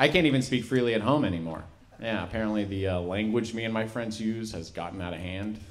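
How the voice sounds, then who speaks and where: This man's pitch variation is ordinary. He talks very fast. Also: fairly low pitch for a man. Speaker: stand-up comedian. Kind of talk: stand-up comedy set with character impressions. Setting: stage with live audience. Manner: animated, profane storytelling with punchy act-outs. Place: stage. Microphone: handheld.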